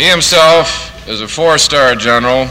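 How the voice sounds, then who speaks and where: A man talks at a fairly slow pace with ordinary pitch variation. Light background noise sits behind him. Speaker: master of ceremonies, plant manager. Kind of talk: ceremony emcee speech, 1950s newsreel style. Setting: outdoor ceremony with PA system. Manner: formal, brisk, clear. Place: factory. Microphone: old recording.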